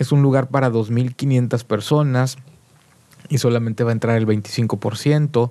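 Slowly and with very even loudness, a man speaks at a medium pitch in a dark, mellow tone, his intonation fairly even. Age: 40s. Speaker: musician. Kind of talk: casual chat. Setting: studio.

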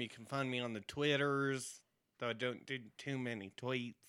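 An ordinary speaking voice belongs to this man, pitched at a medium level. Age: 30s. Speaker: podcast co-host. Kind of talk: casual chat. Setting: home recording.

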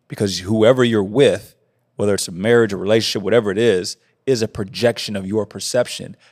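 A man talks at a fairly quick pace in a plain, everyday voice, with fairly even intonation, on a very clean recording with a silent background. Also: fairly low pitch for a man. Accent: American. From Indianapolis, US Midwest. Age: 30s. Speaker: mindset coach. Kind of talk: casual chat.

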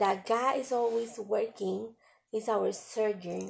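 A woman with a Spanish accent. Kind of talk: devotional talk with reading aloud. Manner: halting.

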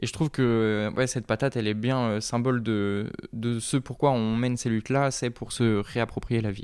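A man's medium-pitched, monotone, flat voice at a moderate pace on a very clean recording with a silent background. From Brittany, France. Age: 20s. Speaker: peasant farming activist. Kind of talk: interview testimony.

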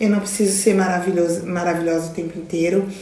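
Noticeable background noise and audible room echo accompany a woman speaking. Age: 50s. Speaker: youtuber and cancer patient. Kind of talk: casual interview. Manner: halting.

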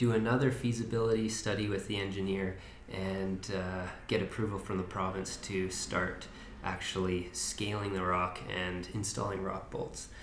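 A Canadian accent at a moderate pace, monotone and flat in intonation, with audible room echo and noticeable background noise. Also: man. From Kootenays, British Columbia. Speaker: community volunteer on tunnel restoration. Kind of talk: podcast interview.

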